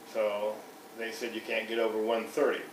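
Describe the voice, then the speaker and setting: Background noise is noticeable throughout. There is also audible room echo. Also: man. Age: 60s. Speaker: customer giving a product testimonial. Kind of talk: testimony. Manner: halting, with frequent restarts.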